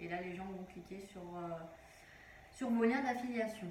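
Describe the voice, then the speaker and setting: A woman speaks at a moderate pace with a medium pitch. Noticeable background noise and audible room echo surround her voice. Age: 20s. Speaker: online business vlogger. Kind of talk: tutorial. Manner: hesitant, many fillers.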